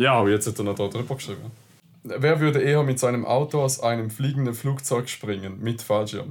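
A man speaks with a Swiss accent at a fairly quick pace. His medium-pitched voice keeps a fairly even intonation. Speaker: car podcast co-host. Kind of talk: casual chat.

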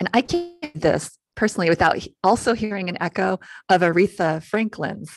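Over music in the background, a woman speaks at a moderate pace and medium pitch with ordinary pitch variation, the sound dry and close with no echo. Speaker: guest radio host. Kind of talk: radio interview.

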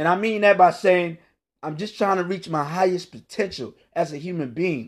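Against a quiet background, a man with an American accent speaks at a high pitch in an animated tone. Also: ordinary pitch variation, moderate pace. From Northern Virginia, Washington DC area. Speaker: motivational podcaster. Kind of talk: motivational monologue.

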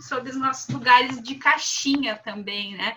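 A woman's high voice comes at a fairly slow speed. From southern Brazil. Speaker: philosophy professor. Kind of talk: panel discussion.

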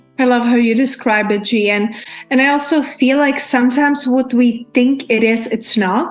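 Against noticeable background noise, a woman with a high pitch talks at a moderate pace, her intonation fairly even and loudness very even. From Czech Republic. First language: Czech. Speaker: abundance coach. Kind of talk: casual chat.

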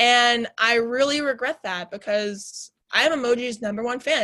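The tone is bright and sharp, with ordinary pitch variation. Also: woman. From Chicago suburbs, Illinois. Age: 20s. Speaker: college radio host. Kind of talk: casual chat. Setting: studio. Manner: talkative, fast.

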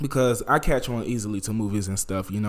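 A man's voice at medium pitch with fairly even intonation. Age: 20s. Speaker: podcast host. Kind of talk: casual solo podcast monologue.

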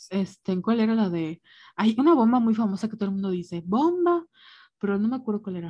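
At a very fast pace, a woman talks in a fairly high, somewhat breathy voice with a dark, mellow tone. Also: lively intonation, quiet background. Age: 20s. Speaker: podcast co-host. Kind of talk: casual chat.

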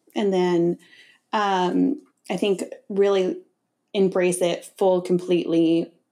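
A woman with an American accent and a dark, mellow tone, medium-pitched, very slow with long, frequent pauses and fairly even intonation. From Connecticut, US. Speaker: fashion designer. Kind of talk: casual interview chat.

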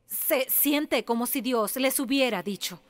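A woman with an English accent speaks at a fairly slow pace. The sound is dry and close with no echo, in a very clean recording with a silent background. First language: English (speaking Spanish). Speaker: pastor's wife preaching. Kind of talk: sermon. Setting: church.

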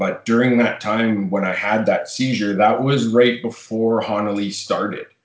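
In a Western Canadian accent, a man with a fairly low pitch speaks at a moderate pace with monotone, flat intonation. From Fort McMurray, Alberta, Canada. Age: 30s. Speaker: smoke shop owner. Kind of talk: casual chat.

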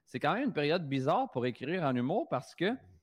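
Pitch swings very widely as this man talks. Nothing disturbs the quiet background. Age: 30s. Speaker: comedian and prankster. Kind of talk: casual chat. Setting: video call.

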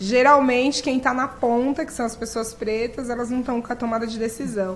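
Over noticeable background noise, a woman with a high pitch speaks at a moderate pace with fairly even intonation. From Brazil, periphery. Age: 30s. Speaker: nonprofit director. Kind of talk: interview.

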